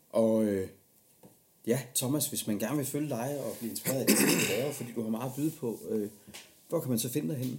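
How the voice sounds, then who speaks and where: A man talks fairly quickly with an unremarkable speaking voice, his medium pitch moving in an ordinary way. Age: 30s. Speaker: podcast host. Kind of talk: casual interview chat.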